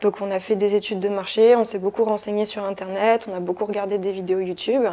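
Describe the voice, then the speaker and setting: Noticeable background noise runs under the clip. A woman of medium pitch speaks at a very fast pace in a monotone, flat intonation. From France, Saumur (Loire valley). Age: 30s. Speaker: property investor. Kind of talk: interview. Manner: hesitant, many fillers.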